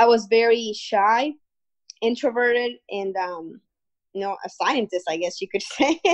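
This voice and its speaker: A woman with a Spanish accent, fairly high in pitch with ordinary pitch variation, at a fairly slow pace. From Guatemala. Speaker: entrepreneur. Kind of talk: interview.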